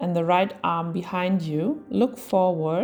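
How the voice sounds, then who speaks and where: A woman's medium-pitched voice with ordinary pitch variation, music playing in the background. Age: 20s. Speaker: yoga teacher. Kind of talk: tutorial.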